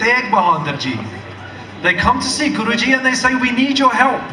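A man's raised, projected voice carries ordinary pitch variation over noticeable background noise. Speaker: speaker. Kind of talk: public speech, storytelling. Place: stage. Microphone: pa.

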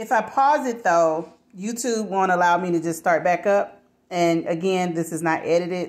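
A woman with a fairly low pitch talks at a moderate pace. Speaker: home vlogger. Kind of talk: casual vlog chat. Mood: chatty, a bit apologetic. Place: kitchen. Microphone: phone near.

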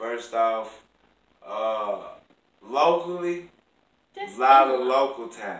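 Audible room echo surrounds a man who speaks at a very slow pace with ordinary pitch variation. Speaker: stand-up comedian; interview guest. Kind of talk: casual, slang-heavy. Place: home room. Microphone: camera far.

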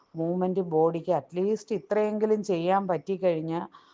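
Her tone dark and mellow, a woman speaks at a fairly low pitch. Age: 50s. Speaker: nurse. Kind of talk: testimony. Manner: halting.

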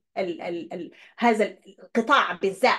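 The background is quiet. A woman speaks with lively intonation. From Sudan. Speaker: YouTuber. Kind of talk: online presentation with slides. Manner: halting. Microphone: webcam.

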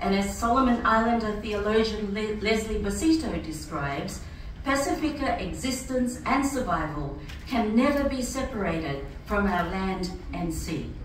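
A woman's fairly high voice with very wide pitch swings, light background noise and audible room echo. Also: moderate pace. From Fiji, Rotuman. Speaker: church speaker. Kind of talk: prepared speech. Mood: earnest, reflective. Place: hall. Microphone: camera far.

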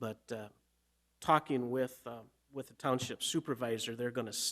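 A man's fairly bright voice at medium pitch, moderate pace, and ordinary pitch variation.

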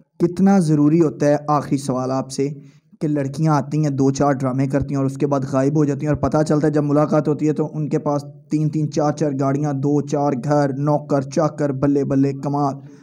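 A man in a normal speaking voice, fairly high in pitch, at a fairly slow pace. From Pakistan. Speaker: interviewer. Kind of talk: interview. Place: home room. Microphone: handheld.

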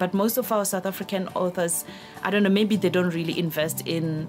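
Over clear background music, a woman speaks with a fairly low pitch and fairly even intonation. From South Africa. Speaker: journalist and radio news reader. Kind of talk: interview answer about reading. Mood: warm, reflective. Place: studio.

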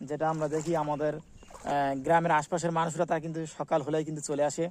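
A man talks in a high-pitched voice. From Bangladesh, border area near the Sonai river. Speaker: village life vlogger. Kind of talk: walking video tour, addressing viewers. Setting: outdoors in rice fields.

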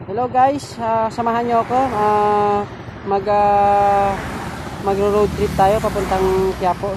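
Very slow speech comes through a dry, echo-free sound with noticeable background noise. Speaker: vlogger filming a road trip. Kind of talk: casual vlog chat. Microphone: phone near.

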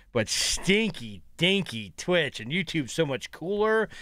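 The man's tone is bright and sharp, with very wide pitch swings. The recording is dry, with no echo. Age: 30s. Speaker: gaming streamer and coach. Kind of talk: gameplay commentary. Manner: animated. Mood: playful, joking. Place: home room.

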